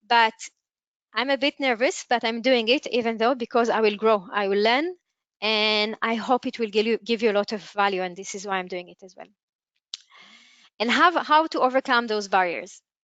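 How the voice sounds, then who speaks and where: A woman with a non-native accent and a fairly high pitch speaks with long, frequent pauses and big swings in loudness. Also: ordinary pitch variation, moderate pace, dry, close sound with no echo. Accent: non-native English, audible. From Israel. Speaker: entrepreneur and webinar speaker. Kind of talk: webinar talk. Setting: online webinar. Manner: halting, with self-corrections.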